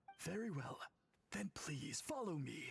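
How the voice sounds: Putting on a character voice, a man speaks at a fairly slow pace with big pitch swings, vocal fry and a husky, rough edge. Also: fairly high pitch for a man.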